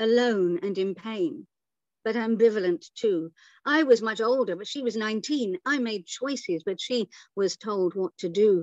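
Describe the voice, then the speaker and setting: Over a quiet background, a woman with an ordinary speaking voice talks at a moderate pace, her fairly high pitch carrying lively intonation in a dry, close sound with no echo. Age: 60s. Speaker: poet. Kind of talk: poetry reading; casual chat. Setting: stage with audience.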